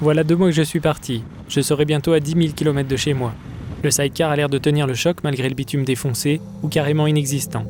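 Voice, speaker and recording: Over noticeable background noise, a man talks very fast in a fairly high pitch with fairly even intonation. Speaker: adventure traveler. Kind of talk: documentary narration.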